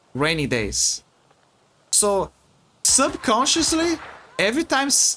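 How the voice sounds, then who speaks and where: Noticeable background noise sits under a man's voice. He talks at a very slow pace with long, frequent pauses. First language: Portuguese. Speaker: video game streamer. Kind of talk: casual livestream commentary. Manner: halting, many repetitions and fillers.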